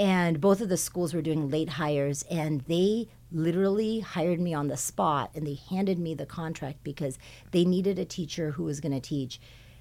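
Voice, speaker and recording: A woman talks with a Californian accent. Her tone is dark and mellow. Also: fairly low pitch for a woman, ordinary pitch variation, moderate pace. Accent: Californian American. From Southern California, South Bay. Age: 40s. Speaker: high school science department chair. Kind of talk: casual interview.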